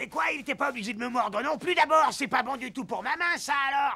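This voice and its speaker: Shouting in a cartoonish character voice, a man hits an extremely high pitch. He goes at a fairly quick pace. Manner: grumbling, blunt.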